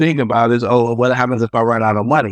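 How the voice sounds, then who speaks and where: A plain, everyday voice with an American accent at a fairly quick pace, dry and close with no echo, over a quiet background. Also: man. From Fayetteville, North Carolina. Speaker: real estate developer and coach. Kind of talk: interview.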